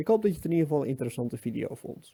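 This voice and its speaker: A man's fairly high voice with a dark, mellow tone, on a very clean recording with a silent background. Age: 30s. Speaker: vlogger. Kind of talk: personal monologue. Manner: halting.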